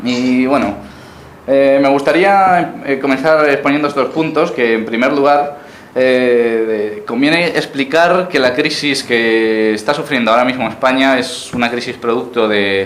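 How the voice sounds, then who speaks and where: Amid audible room echo and noticeable background noise, a man with a Galician accent speaks at a fairly slow pace with ordinary pitch variation. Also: medium pitch for a man. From Uruguay, raised in Galicia, Spain. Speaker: political activist speaker. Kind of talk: lecture. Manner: halting, many repetitions.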